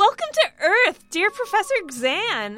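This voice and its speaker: Using a put-on character voice, a woman speaks at an extremely high pitch, raised and projected, with very wide pitch swings at a fairly slow pace. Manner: excited, gushing.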